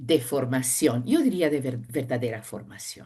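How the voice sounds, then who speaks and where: With a non-native accent, a woman speaks with vocal fry. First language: not Spanish (speaking Spanish). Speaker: sinologist professor. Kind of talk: interview.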